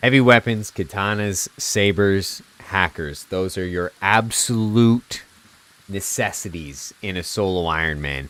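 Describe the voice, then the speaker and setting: Speaking at a fairly slow pace, a man has an unremarkable speaking voice. His pitch is fairly low, with ordinary pitch variation. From Canada. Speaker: video game streamer. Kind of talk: live gameplay commentary. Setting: live stream. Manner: casual, chatty.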